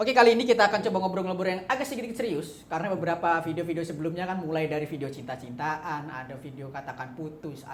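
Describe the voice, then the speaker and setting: A fast-talking woman at a fairly low pitch, with hardly any pauses, lively intonation, big swings in loudness and noticeable background noise. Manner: trying to lower the voice.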